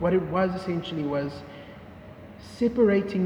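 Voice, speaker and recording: With noticeable background noise behind it, the speech moves at a moderate pace. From South Africa, Cape Town. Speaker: vlogger. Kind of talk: casual chat.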